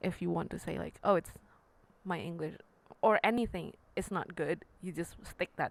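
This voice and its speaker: A woman with a fairly low pitch speaks with vocal fry and fairly even intonation. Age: young. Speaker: podcast co-host and piano teacher. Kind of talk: casual chat.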